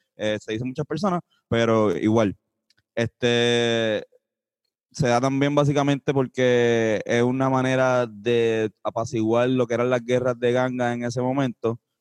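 A man talks at a fairly slow pace in a normal speaking voice of medium pitch, with fairly even intonation. The sound is dry and close, with no echo. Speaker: podcast co-host. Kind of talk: casual chat; news reading. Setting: video call from home.

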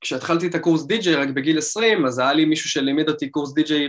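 This man has an unremarkable speaking voice with a fairly high pitch. He talks at a fairly quick pace with ordinary pitch variation. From Israel, Rishon LeZion. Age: 20s. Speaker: DJ and music producer. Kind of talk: casual interview.

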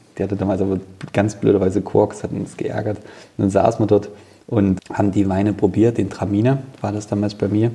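Fairly quick, monotone and flat delivery from a man with a fairly low voice. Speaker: winemaker. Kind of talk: casual interview during wine tasting. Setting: wine cellar. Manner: hesitant, many fillers.

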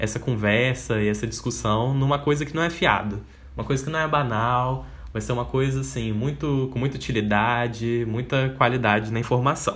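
With audible room echo in the space, a man talks at a medium pitch. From Espírito Santo, Brazil. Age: 20s. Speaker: podcast host and advertising student. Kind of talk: casual solo monologue.

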